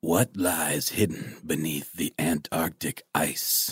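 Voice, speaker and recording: A man puts on a character voice, very deep and low. It comes out raspy and very slow. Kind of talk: dramatic movie-trailer voice. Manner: dramatic, ominous.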